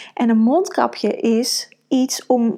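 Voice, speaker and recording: A woman's high-pitched voice. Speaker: podcast host and women's coach. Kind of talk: solo podcast monologue. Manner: many fillers and hesitations.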